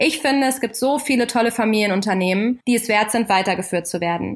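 In an unremarkable speaking voice, a woman talks fairly quickly at a fairly high pitch with ordinary pitch variation. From Germany, Kassel in northern Hesse. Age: 30s. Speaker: podcast host and family business owner. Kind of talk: scripted podcast introduction.

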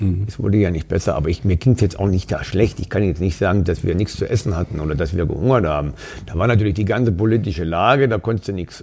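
A man with a very deep, low pitch and ordinary pitch variation, very fast, amid noticeable background noise. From Saxony, Upper Lusatia (East Germany). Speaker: bar owner. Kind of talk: casual chat. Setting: in a bar.

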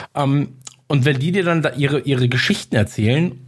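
At a moderate pace, a man with a medium pitch speaks with lively intonation and a somewhat breathy sound. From Munich, Bavaria. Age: 30s. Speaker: podcaster. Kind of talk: casual interview chat.

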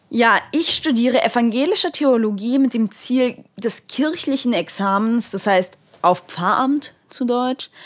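The speaker's intonation is lively. The pace is fairly slow. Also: woman, high pitch for a woman, very clean recording, silent background. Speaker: theology student. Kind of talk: casual chat.

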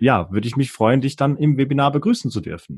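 In a normal speaking voice, a man talks at a moderate pace with ordinary pitch variation, the sound dry and close with no echo over a quiet background. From Switzerland, near Bern. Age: 30s. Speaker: online marketer. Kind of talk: casual interview.

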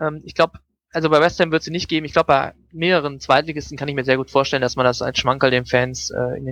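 A man talks at a fairly quick pace. The sound is dry and close, with no echo. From Germany, Düsseldorf. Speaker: football fan, journalist. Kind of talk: casual interview. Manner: hesitant, many filler sounds.

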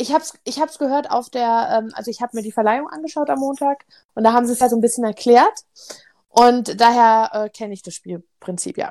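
A woman with a high pitch and a dark, mellow tone speaks at a fairly quick pace, her intonation lively and her loudness swinging widely. The sound is dry and close, with no echo. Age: 30s. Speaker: board game podcast co-host. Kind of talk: casual chat.

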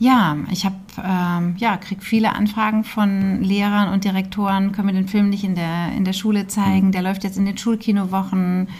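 Over noticeable background noise and audible room echo, a woman talks at a moderate pace with hardly any pauses. Her medium-pitched delivery has a monotone, flat intonation. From Hesse, Germany (Hünfeld near Fulda). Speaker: documentary film director. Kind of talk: interview.

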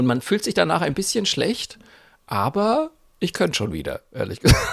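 A man talks at a moderate pace, broken by long, frequent pauses. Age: 40s. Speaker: podcast co-host. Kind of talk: casual chat.

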